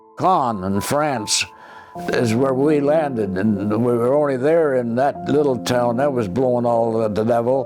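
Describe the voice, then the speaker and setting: Music plays in the background as a man speaks at a fairly slow pace. His pitch varies in an ordinary way, and his loudness stays very even. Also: medium pitch for a man. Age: 80s+. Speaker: war veteran. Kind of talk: interview answer.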